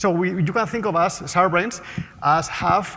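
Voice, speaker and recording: A man talks with a Spanish accent. His pitch is high, with ordinary variation. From Spain, Basque Country. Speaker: market research CEO and economist. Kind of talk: conference talk. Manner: fast.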